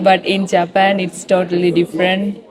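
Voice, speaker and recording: A woman speaks over noticeable background noise. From Sri Lanka. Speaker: university student. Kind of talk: street interview. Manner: hesitant, with fillers.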